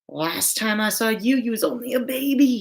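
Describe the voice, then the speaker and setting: A woman's put-on character voice, high-pitched and raspy, at a moderate pace. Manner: warm, gruff.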